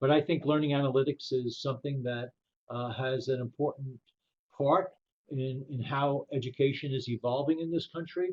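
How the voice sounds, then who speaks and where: A man's fairly high, somewhat breathy voice with an American accent. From New York, the Bronx. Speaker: professor. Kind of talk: webinar presentation. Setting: webinar.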